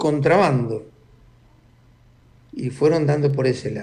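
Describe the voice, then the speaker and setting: Delivered at a moderate pace, the speech carries a dark, mellow tone. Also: man. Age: 70s. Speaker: former intelligence agent and author. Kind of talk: interview.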